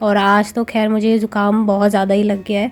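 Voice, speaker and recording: This woman's voice sits fairly high in pitch. She speaks at a fairly slow pace with monotone, flat intonation. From India. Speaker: vlogger. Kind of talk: casual vlog narration. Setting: at home.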